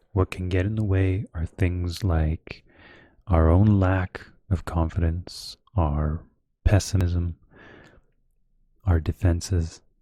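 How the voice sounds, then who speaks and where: A soft-spoken, somewhat breathy voice with a dark, mellow tone moves at a very slow pace with long, frequent pauses and monotone, flat intonation. The sound is dry and close with no echo, on a very clean recording with a silent background. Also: man, very deep, low pitch for a man. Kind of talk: slow audiobook-style reading of a self-help book. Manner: soft-spoken, slow, relaxing.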